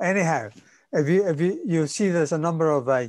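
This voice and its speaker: A man with a Spanish accent, moderate pace and ordinary pitch variation, against a quiet background. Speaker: workshop instructor. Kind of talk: tutorial. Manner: halting, many repeated words and fillers.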